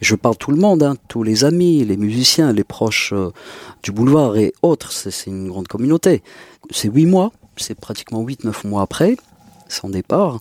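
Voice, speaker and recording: At a moderate pace and medium pitch, a man's voice makes very wide pitch swings in a dry, close recording with no echo. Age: 40s. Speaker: music festival organizer. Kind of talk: casual chat.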